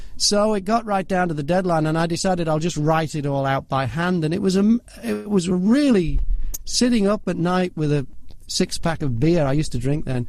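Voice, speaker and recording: With an English accent and lively intonation, a man talks fairly quickly in a high voice. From northwest England, near Liverpool. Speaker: voiceover artist and broadcaster. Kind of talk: interview storytelling.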